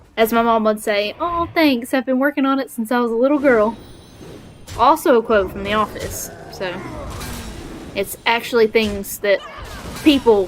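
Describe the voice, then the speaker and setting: A woman with a Southern US accent speaks at a moderate pace in a fairly high voice with ordinary pitch variation. Long, frequent pauses break up her speech, and there is noticeable background noise. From Alabama, US South. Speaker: video game streamer. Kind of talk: casual gameplay live stream chat. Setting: home, sitting on the floor with a laptop.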